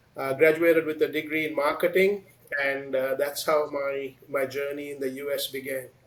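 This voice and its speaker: Against noticeable background noise, a man speaks at a fairly high pitch in a monotone, flat intonation. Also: moderate pace. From Sri Lanka. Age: 60s. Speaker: business executive. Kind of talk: interview. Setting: podcast.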